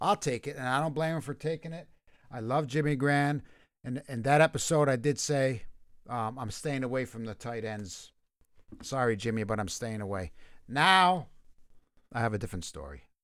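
Over a very clean recording with a silent background, a man at medium pitch speaks with lively intonation and long, frequent pauses. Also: moderate pace. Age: 50s. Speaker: fantasy football podcast co-host. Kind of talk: casual chat. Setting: live stream.

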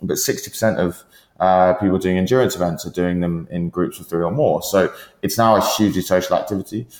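Very deep and low in pitch, a man talks at a fairly quick pace with ordinary pitch variation in a very clean recording with a silent background. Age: 20s. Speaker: startup founder. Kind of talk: interview. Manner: hesitant, many fillers.

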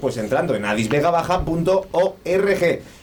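Noticeable background noise is present. A man with a high pitch speaks with ordinary pitch variation. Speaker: radio host. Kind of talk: casual chat. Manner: animated.

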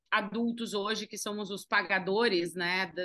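A woman's bright, sharp tone at a moderate pace. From Uruguaiana, interior of Rio Grande do Sul, Brazil (Argentine border). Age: 30s. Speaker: entrepreneur, business co-founder. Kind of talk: interview.

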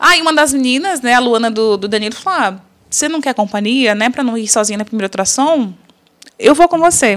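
With lively intonation, a woman speaks at a high pitch and a fairly quick pace. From São Paulo, Brazil. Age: 30s. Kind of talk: faith testimony interview.

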